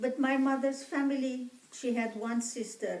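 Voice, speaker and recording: A woman with an Armenian accent speaks at a very slow pace. Audible room echo and noticeable background noise are present. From Egypt. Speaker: genocide survivor descendant interviewee. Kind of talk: interview.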